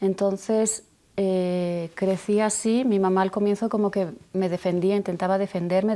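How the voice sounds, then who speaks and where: In a very clean recording with a silent background, a woman with a Castilian accent speaks in a dark, mellow, monotone, flat voice. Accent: Spanish (Castilian) accent, noticeable. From Spain (Barcelona). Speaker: abuse survivor sharing testimony. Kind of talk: testimony.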